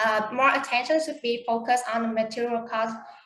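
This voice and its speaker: A monotone, flat delivery with audible room echo. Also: woman. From Vietnam. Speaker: conference presenter. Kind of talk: Q&A answers; conference presentation. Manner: halting.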